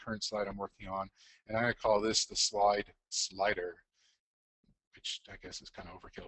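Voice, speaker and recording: His delivery is fairly quick and monotone, with flat intonation. The man's pitch sits fairly low. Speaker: educational technology presenter. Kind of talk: tutorial. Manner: fast; hesitant, many fillers.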